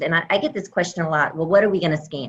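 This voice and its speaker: Her voice is an unremarkable speaking voice, as this woman talks at a fairly low pitch with ordinary pitch variation. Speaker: surgical oncologist. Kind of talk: medical lecture on video call. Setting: video call.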